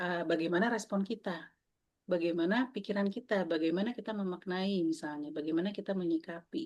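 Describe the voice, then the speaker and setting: At a moderate pace, a woman speaks in an unremarkable speaking voice at medium pitch, with lively intonation. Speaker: mindfulness facilitator. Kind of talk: online workshop talk. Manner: casual, conversational.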